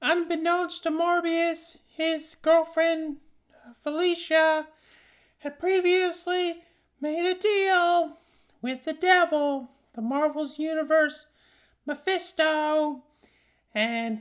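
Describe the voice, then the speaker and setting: In a squeaky, put-on character voice, the speaker goes at a very slow pace with long, frequent pauses. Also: woman, extremely high pitch for a woman. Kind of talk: parody fan rant. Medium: solo performance. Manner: rambling, hesitant, full of fillers.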